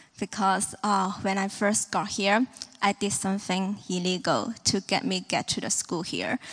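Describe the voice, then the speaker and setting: A woman's medium-pitched voice in a Hong Kong accent, at a fairly slow pace with fairly even intonation. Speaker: church member. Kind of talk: testimony.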